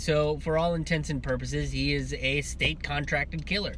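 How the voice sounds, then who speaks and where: A man speaks at a moderate pace. The sound is dry with no echo, with light background noise. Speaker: comedian commentator. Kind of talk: political commentary vlog. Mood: indignant, firm. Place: car. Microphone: earbuds.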